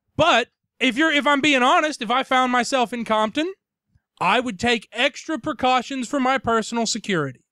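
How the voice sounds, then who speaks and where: Spoken at a moderate pace with a Tennessee accent, the very clean recording has a completely silent background. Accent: Southern US (Tennessee). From US South, Tennessee. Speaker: podcast co-host. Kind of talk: casual chat.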